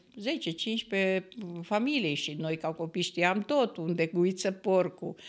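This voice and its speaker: A woman speaks very slowly at a fairly low pitch, with ordinary pitch variation. The background is quiet. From Romania, Banat region (Timiș county village); Banat, Romania. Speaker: traditional cook; podcast guest. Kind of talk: casual interview. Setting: studio. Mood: warm, nostalgic. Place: studio. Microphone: studio mic.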